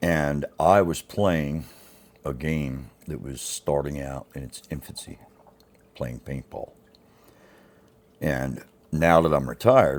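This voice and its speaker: With an American accent, the speaker shows big swings in loudness, long, frequent pauses and ordinary pitch variation. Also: man. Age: 60s. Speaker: YouTuber, retired paintball player. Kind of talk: casual vlog monologue.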